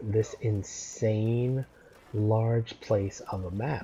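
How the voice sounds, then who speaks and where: A man speaks with a dark, mellow tone at fairly low pitch. His voice is somewhat breathy. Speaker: gaming YouTuber. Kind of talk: let's play gameplay commentary. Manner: casual, rambling with fillers and repetitions.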